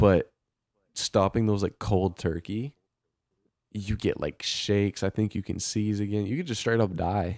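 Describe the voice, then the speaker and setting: On a very clean recording with a silent background and a dry, close sound with no echo, a man with a fairly low pitch talks at a fairly slow pace with fairly even intonation in an ordinary speaking voice. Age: 20s. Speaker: podcast co-host. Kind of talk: casual chat.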